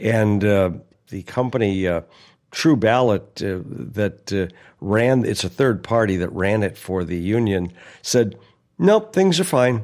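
In a plain, everyday voice, a man speaks fairly slowly at a fairly low pitch with ordinary pitch variation. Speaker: aviation journalist and pilot. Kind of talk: casual chat.

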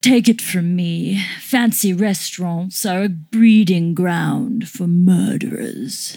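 A woman at medium pitch and a very slow pace. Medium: audio drama. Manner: prim, chatty, quietly sinister.

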